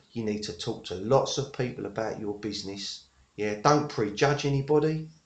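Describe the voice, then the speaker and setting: A man with an English accent speaks at a moderate pace, somewhat breathy, with medium pitch and ordinary pitch variation. The background is quiet. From England. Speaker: network marketer. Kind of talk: tutorial. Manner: halting, many fillers.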